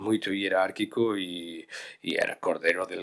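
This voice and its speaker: A man with a Galician accent at a moderate pace. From Galicia, Spain. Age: 40s. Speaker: veterinary cardiologist. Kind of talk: interview answer. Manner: frank, direct.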